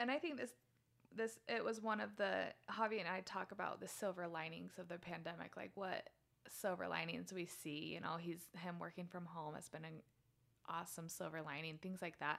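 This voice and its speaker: With an American accent, a woman speaks at a fairly quick pace and fairly low pitch, showing vocal fry and ordinary pitch variation. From Utah. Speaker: guest, mother of three. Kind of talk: casual conversation. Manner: laughs often.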